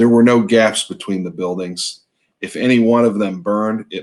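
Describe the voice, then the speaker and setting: A man speaks at a moderate pace with an American accent in a plain, everyday voice. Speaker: novelist, author. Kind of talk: author's reading of his own novel. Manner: measured, storytelling.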